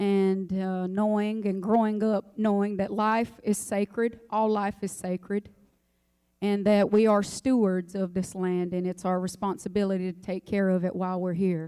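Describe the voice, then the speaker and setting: A woman's medium-pitched voice in an American accent, dark and mellow in tone, at a moderate pace with monotone, flat intonation. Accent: Lumbee dialect. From North Carolina, Robeson County (Pembroke). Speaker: singer. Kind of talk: speech before song performance.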